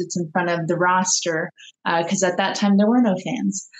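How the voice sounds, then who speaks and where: A woman talks with ordinary pitch variation. Hers is a plain, everyday voice. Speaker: professional wrestler. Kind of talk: casual chat. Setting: video call.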